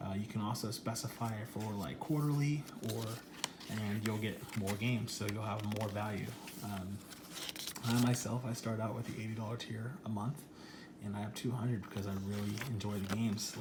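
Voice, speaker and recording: Quietly and at a moderate pace, a man with a fairly low pitch speaks with fairly even intonation over noticeable background noise. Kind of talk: casual unboxing talk to camera. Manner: lowered, quiet voice.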